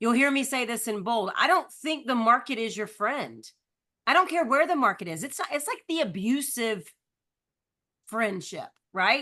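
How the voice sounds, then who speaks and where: A woman's high, bright, sharp voice with very wide pitch swings. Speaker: real estate coach. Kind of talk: live online book discussion. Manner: fast.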